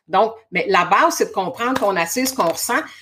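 With a Quebec accent, a woman speaks in an energetic tone at a fairly high pitch that makes very wide swings. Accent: Québécois French. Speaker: spiritual coach and hypnotherapist. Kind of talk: casual interview chat.

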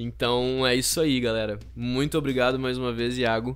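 He talks at a moderate pace and a medium pitch. The man has an unremarkable speaking voice. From Rio Grande do Sul, Brazil (Canguçu). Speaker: actor and theatre teacher. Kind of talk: casual interview.

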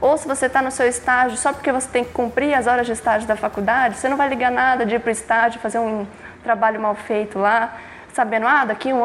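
Very fast, monotone delivery with flat intonation over noticeable background noise. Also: woman. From São Paulo metro area, Brazil. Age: 20s. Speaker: engineering student and intern. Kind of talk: casual interview.

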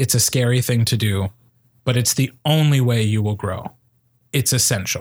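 A man at medium pitch and moderate pace, somewhat breathy, with fairly even intonation, very even loudness and long, frequent pauses. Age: 30s. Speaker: podcast host and speech coach. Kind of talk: casual chat.

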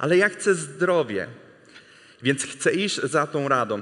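This man has an English accent. His pitch is high, with ordinary variation. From US, Texas. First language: English (speaking Polish). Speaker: missionary preacher. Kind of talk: sermon.

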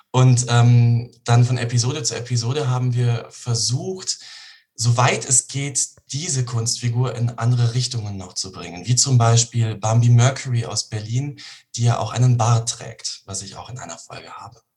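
A man talks in a normal speaking voice at a medium pitch and moderate pace. His intonation is fairly even, but his loudness swings widely. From Bavaria, Germany (Regensburg). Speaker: actor. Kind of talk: interview.

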